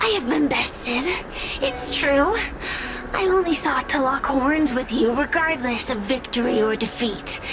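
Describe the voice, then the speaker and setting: Loud background noise sits behind a cartoonish character voice that sounds female and high-pitched. The pace is moderate. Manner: proud, defiant.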